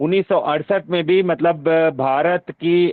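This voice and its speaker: A man speaks in a Telangana accent with ordinary pitch variation. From Telugu-speaking South India (Andhra/Telangana). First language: Telugu (speaking Hindi). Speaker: university professor, workshop convener. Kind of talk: online workshop discussion. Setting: online video meeting. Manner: halting, many filler sounds.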